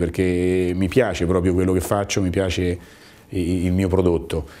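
With a dark, mellow tone, a man speaks at a very deep, low pitch. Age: 50s. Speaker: business owner. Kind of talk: interview testimony; interview answer. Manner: halting, with repetitions. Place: office. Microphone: lapel.

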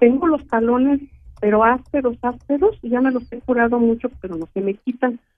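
Ordinary pitch variation in a high-pitched female voice. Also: moderate pace. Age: 60s. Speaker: caller. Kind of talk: phone-in health consultation. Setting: phone call. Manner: halting.

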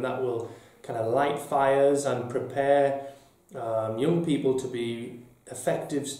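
Noticeable room echo around a male voice. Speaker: deputy head teacher. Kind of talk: interview answer. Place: office.

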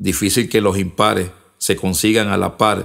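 A man's fairly low, monotone, flat voice at a moderate pace. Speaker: rapper and spoken word poet. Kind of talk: spoken word poetry, rhymed verse. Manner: rhythmic, punchy, declamatory delivery.

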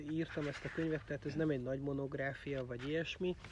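A man speaks with a somewhat breathy voice, dry with no echo. Noticeable background noise is present. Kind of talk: book launch talk.

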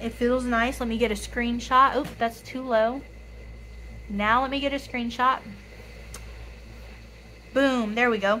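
With a fairly high pitch and a raspy, bright, sharp tone, a woman speaks at a fairly slow pace, keeping her intonation fairly even and leaving long, frequent pauses.

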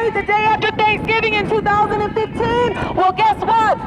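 Crowd noise fills the background. A man with an extremely high pitch speaks at a fairly slow pace. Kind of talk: protest rant. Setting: outdoors protest. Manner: loud, accusatory, exhorting the crowd; repetitive, emphatic, incensed.

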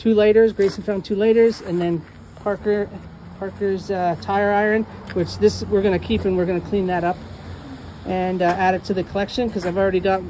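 The speech moves at a fairly quick pace in a flat, monotone delivery. Light background noise sits underneath. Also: woman. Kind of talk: casual vlog chat. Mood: relaxed, cheerful. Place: street. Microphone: phone near.

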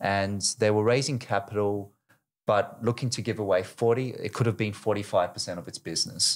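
At a moderate pace, the man's voice sits fairly low in pitch. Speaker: fintech startup co-founder. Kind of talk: podcast interview. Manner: hesitant, many fillers. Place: studio. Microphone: studio mic.

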